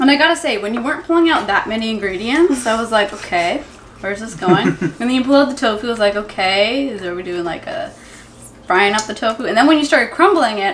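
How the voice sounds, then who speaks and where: A woman talks at a very fast pace with lively intonation. Light background noise sits behind her. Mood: enthusiastic, amused. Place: kitchen.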